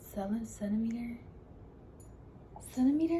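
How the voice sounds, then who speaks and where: A woman talks while noticeable background noise is heard. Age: 20s. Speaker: vlogger sharing cancer journey. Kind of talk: personal vlog.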